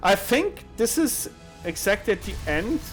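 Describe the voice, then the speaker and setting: Over music in the background, the words come at a fairly slow pace. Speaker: esports caster. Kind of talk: color commentary analysis. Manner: relaxed, conversational.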